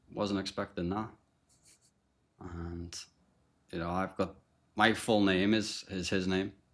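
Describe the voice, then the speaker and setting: In a very clean recording with a silent background, a man with a Liverpool accent speaks in a very deep, low pitch with fairly even intonation. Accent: Liverpool (Scouse). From Liverpool, England. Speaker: podcast guest sharing recovery story. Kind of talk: testimony. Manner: casual, with frequent fillers and repetitions.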